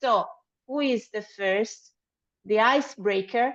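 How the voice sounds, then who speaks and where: A woman with a non-native accent, fairly high pitch and lively intonation, very slow in pace, the sound dry and close with no echo. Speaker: event moderator. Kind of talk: online event moderation. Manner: halting.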